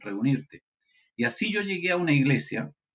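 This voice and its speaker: Delivered in a Chilean accent, the speech moves at a moderate pace with ordinary pitch variation. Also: man. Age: 60s. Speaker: pastor. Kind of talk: testimony.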